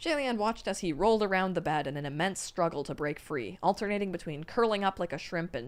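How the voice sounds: Natural voice reading aloud.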